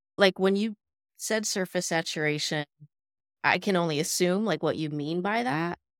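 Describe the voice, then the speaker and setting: A woman has a normal speaking voice, fairly low in pitch with ordinary variation, at a moderate pace. The sound is dry and close with no echo, and the recording is very clean against a silent background. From US Midwest (born in Los Angeles). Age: 40s. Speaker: social work professor and DEI educator. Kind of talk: casual interview conversation.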